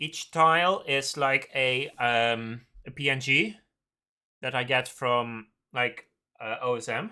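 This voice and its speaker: In a very clean recording with a silent background, a man with a medium-pitched, bright, sharp tone speaks very slowly with ordinary pitch variation and long, frequent pauses. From Netherlands. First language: Dutch. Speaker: game developer streamer. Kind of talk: live coding stream chat. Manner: hesitant, many fillers.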